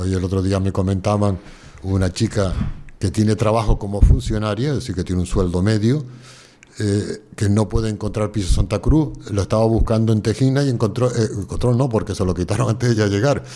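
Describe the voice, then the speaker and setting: Noticeable background noise sits behind a man with a fairly low pitch. He talks at a fairly quick pace with ordinary pitch variation. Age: 70s. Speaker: environmental activist and geographer. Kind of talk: interview answer.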